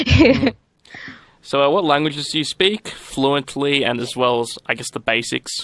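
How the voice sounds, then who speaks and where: A man's fairly high voice in an Australian accent, moderate in pace, with ordinary pitch variation and a dry, close sound free of echo. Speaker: radio host. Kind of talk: radio outro announcement; casual interview.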